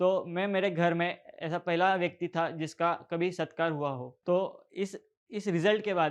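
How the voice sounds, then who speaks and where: The background is quiet as a man speaks at a high pitch. His intonation stays fairly even. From India, Beed district, Maharashtra. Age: 20s. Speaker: software developer, motivational speaker. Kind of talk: motivational talk. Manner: halting.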